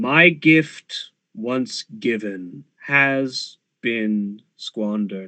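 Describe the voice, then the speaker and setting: A man puts on a rumbling character voice at a medium pitch. He speaks at a very slow pace. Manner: solemn, accusing.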